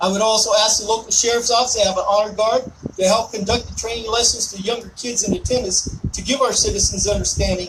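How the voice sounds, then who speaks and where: A loud man with an American accent, high in pitch, at a very fast pace, over noticeable background noise. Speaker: army veteran, event host. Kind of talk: ceremony speech to outdoor audience. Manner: forceful, sounds angry to some.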